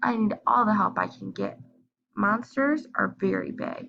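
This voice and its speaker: A put-on character voice, raspy and squeaky, moves along at a moderate pace. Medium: read story.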